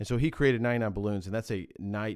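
A man's plain, everyday voice with an American accent, fairly low pitch and fairly even intonation, at a fairly quick pace on a very clean recording with a silent background. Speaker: podcast co-host, businessman. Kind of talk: casual podcast chat.

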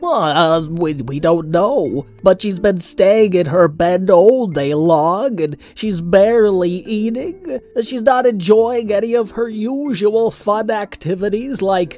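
A put-on character voice at middle pitch, fairly slow yet with hardly any pauses. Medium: read story. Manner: earnest, chatty.

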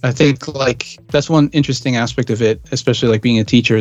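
Noticeable background noise sits under a man speaking at a medium pitch with fairly even intonation. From Austria. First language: German. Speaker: electronic music producer and DJ. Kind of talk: casual interview.

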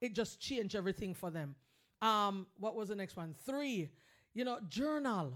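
At a moderate pace, a woman speaks in an animated tone. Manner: warm, earnest, urgently encouraging; animated, exhorting listeners to be kind and reach out.

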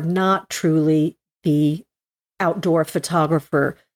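Recorded with a dry, close sound and no echo, a woman speaks in an unremarkable speaking voice, fairly low in pitch, with fairly even intonation. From New Jersey, Morris County. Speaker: landscape and nature photographer. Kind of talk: interview conversation.

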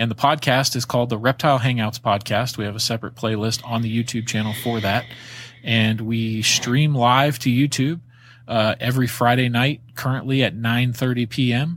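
A man with an American accent speaks in a plain, everyday voice at medium pitch and a moderate pace. His intonation stays fairly even, and the recording is very clean with a silent background. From Florida and Virginia. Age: 30s. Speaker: reptile breeder, podcaster. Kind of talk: casual chat.

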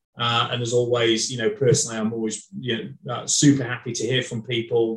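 At a fairly quick pace, a man with a medium pitch and fairly even intonation sounds somewhat breathy, his loudness swinging widely. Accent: northern English. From northern England. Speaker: HR executive. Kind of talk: casual interview.

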